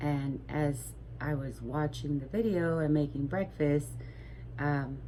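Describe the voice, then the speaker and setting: Soft-spoken and at a very slow pace, a woman talks with audible room echo around her. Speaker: crochet vlogger. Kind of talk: casual vlog chat. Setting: home at night. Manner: soft-spoken, keeping voice low; hesitant, many fillers.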